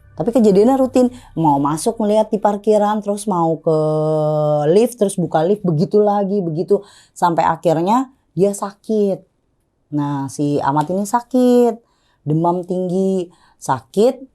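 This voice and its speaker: A woman speaks fairly slowly at medium pitch, her tone dark and mellow. Her intonation is lively. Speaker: storyteller guest on horror podcast. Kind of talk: casual storytelling interview. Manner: loud; animated.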